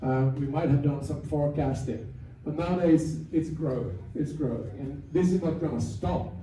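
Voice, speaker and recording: Audible room echo surrounds a man with a fairly high pitch and ordinary pitch variation. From Finland, Swedish-speaking community. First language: Swedish. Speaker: AI industry speaker. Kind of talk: seminar talk. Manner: halting, many repetitions and fillers.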